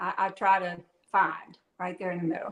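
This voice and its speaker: A woman speaks in a Southern US accent. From Louisiana. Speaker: author. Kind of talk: live interview.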